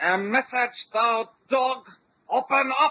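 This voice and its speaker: This put-on character voice is high-pitched and delivered at a very slow pace. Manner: impersonated, commanding.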